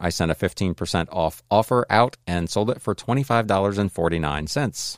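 A man's a plain, everyday voice, fairly low in pitch, at a fairly quick pace with hardly any pauses, on a very clean recording with a silent background. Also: dry, close sound with no echo. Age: 50s. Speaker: reseller and podcaster. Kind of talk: solo podcast monologue. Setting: home.

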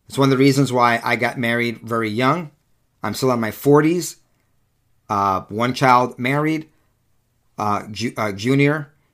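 A man's animated tone at medium pitch, fairly slow pace and ordinary pitch variation, with long, frequent pauses, in a very clean recording with a silent background. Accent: American. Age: 40s. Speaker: political podcast host. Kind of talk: solo commentary monologue.

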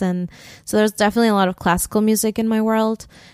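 A woman's voice with fairly even intonation comes through a very clean recording with a silent background and a dry, close sound with no echo. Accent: Spanish. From Colombia (Bogota), moved to Pennsylvania at 10. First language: Spanish. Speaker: singer-songwriter. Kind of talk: casual interview chat.

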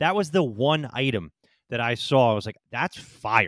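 An animated tone comes through at a moderate pace in a very clean recording with a silent background. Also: man. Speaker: podcast co-host. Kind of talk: casual banter podcast. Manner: joking, animated.

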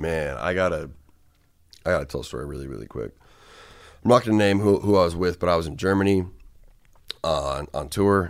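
A man's very deep, low voice at a fairly quick pace, with long, frequent pauses and big swings in loudness. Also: ordinary pitch variation. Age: 20s. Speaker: rapper. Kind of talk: casual chat.

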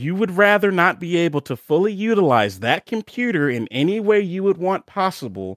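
In a dry, close sound with no echo, a man with an American accent talks at a fairly quick pace. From Baltimore, Maryland, US. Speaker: Twitch streamer. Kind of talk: casual chat. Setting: video call.

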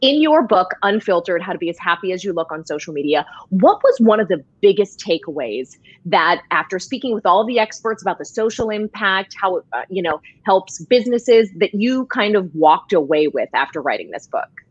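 In an ordinary speaking voice, a woman talks at a fairly quick pace with lively intonation. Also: medium pitch for a woman. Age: 30s. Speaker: talk show and podcast host, former TV news journalist. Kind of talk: interview. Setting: live show with headphones.

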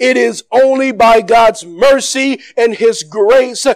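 A man speaks in an extremely high pitch, loud and strong. His tone is excited and animated. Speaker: pastor. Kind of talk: fiery church sermon with call-and-response to the congregation. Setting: church service with live congregation. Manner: loud and animated, moving around the stage; excited, laughing bursts with urgent rising exhortation.

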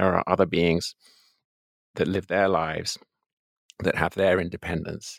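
On a very clean recording with a silent background and a dry, close sound with no echo, a man speaks in a very deep, low pitch with monotone, flat intonation, at a moderate pace with long, frequent pauses. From England. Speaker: philosophy professor and author. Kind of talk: interview.

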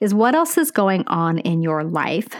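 Against a quiet background, a woman with a plain, everyday voice speaks at a moderate pace. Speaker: nurse educator podcaster. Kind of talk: educational podcast monologue. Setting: podcast, solo. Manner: warm, upbeat.

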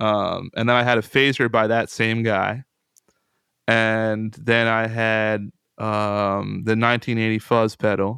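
The speaker talks at a fairly slow pace with an American accent and monotone, flat intonation. The background is quiet. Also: man, medium pitch for a man. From US, central Pennsylvania. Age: 20s. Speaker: guitarist and composer. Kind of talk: casual chat.

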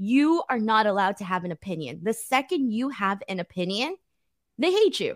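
At a moderate pace, an unremarkable speaking voice with an American accent comes through a very clean recording with a silent background. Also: woman. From United States, Mexican heritage. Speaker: wrestling YouTuber and co-host. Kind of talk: casual chat.

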